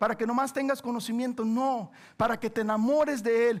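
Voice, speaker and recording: Recorded very cleanly against a silent background, a man speaks at an extremely high pitch with ordinary pitch variation. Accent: non-native. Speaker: pastor. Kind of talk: sermon. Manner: animated.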